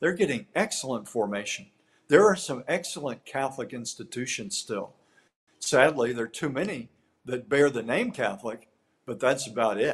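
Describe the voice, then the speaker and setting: A man with an American accent uses a normal speaking voice at medium pitch, keeping a moderate pace and lively intonation. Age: 60s. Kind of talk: interview.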